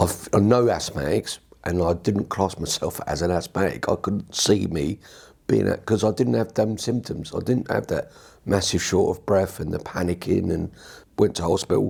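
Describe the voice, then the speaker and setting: Using vocal fry, a man with a very deep, low pitch talks at a moderate pace with ordinary pitch variation. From southern England, Watford. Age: 60s. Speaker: patient, army veteran. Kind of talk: testimony. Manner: halting.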